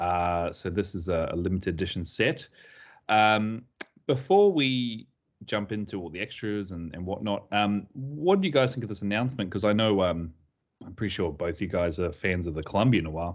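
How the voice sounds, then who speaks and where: A fairly low-pitched male voice at a moderate pace, with ordinary pitch variation. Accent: Australian. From Sydney, Australia. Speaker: podcast host. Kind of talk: casual chat.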